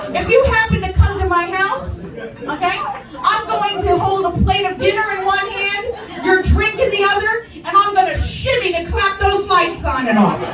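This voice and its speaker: A woman with a New Jersey accent talks at a moderate pace at an extremely high pitch, with ordinary pitch variation. Crowd noise fills the background. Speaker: stand-up comedian; veteran. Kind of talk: stand-up comedy set.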